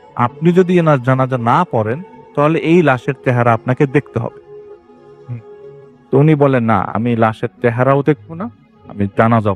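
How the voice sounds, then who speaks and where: A man's medium-pitched voice with ordinary pitch variation and big swings in loudness, dry and close with no echo, over music in the background. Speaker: radio horror show host reading listener emails. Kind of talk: Bangla horror story narration. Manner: conversational storytelling, paraphrasing listener's account.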